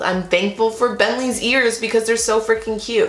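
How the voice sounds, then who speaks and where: With an animated tone and a fairly high pitch, a woman talks at a fairly quick pace through audible room echo and noticeable background noise. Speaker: lifestyle vlogger. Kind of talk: casual chat. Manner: loud.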